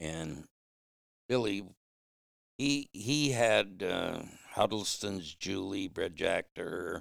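This man speaks at a very slow pace with long, frequent pauses and an American accent. His pitch is fairly low, and his intonation is lively. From Michigan, Flint. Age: 70s. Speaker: hound hunter. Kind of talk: casual interview storytelling. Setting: at his home.

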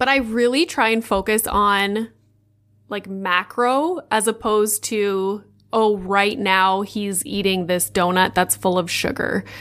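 A woman with a Canadian accent and a plain, everyday voice speaks at a fairly slow pace, her medium pitch showing ordinary variation. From Northern Ontario, Canada (Sudbury). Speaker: mom content creator. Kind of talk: interview.

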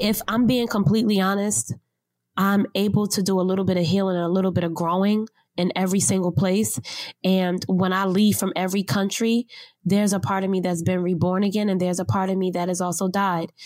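A woman at medium pitch with fairly even intonation and a plain, everyday voice. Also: fairly quick pace. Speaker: world traveler. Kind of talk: interview.

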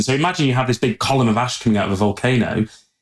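A man's voice at medium pitch. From Peak District, central England. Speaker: geologist and professor. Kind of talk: casual interview.

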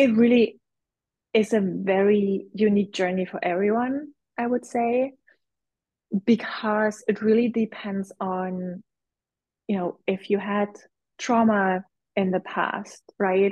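At a very slow pace with long, frequent pauses, a woman speaks somewhat breathily at medium pitch with fairly even intonation. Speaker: visibility coach and business mentor. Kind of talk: casual interview.

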